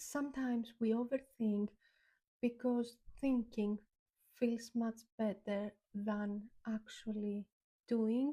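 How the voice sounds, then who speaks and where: With a non-native accent, a woman speaks at a very slow pace with long, frequent pauses, her fairly high pitch carrying a dark, mellow tone and fairly even intonation. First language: not English. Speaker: YouTuber. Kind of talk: reflective talk to camera. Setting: on camera. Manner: many filler ums.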